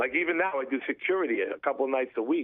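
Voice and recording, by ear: A man talks at a fast pace. His pitch is medium.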